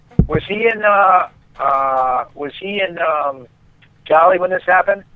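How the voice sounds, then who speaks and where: A high-pitched man with an American accent at a fairly slow pace, with ordinary pitch variation and noticeable background noise. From Boston. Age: 50s. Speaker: martial arts instructor. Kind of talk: phone conversation. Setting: phone call.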